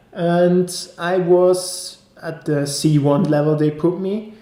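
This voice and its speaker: The intonation stays fairly even, and there is audible room echo. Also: man. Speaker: vlogger. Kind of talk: personal review vlog. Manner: casual, with hesitations.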